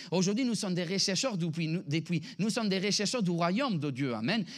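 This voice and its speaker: A man with a high voice and ordinary pitch variation talks as noticeable noise sounds behind him. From Italy. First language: Italian (speaking French). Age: 30s. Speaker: pastor. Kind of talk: sermon. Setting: church. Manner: animated.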